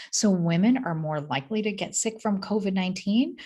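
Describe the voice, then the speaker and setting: A woman with an American accent, somewhat breathy and quick-paced, with lively intonation. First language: not English. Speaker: physician and motivational speaker. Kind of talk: keynote talk. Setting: recorded video in her office. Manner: animated.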